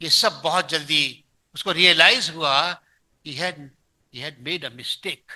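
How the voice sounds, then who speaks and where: A man's high-pitched voice with a bright, sharp tone against a quiet background. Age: 70s. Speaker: pastor. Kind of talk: sermon. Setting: church.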